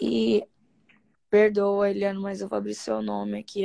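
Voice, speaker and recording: A woman's dark, mellow voice, fairly low in pitch with very wide pitch swings, at a moderate pace against a quiet background. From Brazil. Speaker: study group member and live host. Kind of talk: casual chat. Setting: live stream video call. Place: home room. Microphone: phone near.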